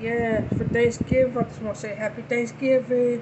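Against noticeable background noise, a woman speaks at a high pitch with flat, monotone intonation. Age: 30s. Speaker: YouTuber. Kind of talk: casual talk to camera. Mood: cheerful, festive. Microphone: phone near.

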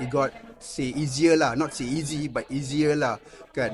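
A man's fairly high voice, fairly even in intonation and fairly slow in pace, over noticeable background noise. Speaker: actor. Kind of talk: interview. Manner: casual code-switching with fillers.

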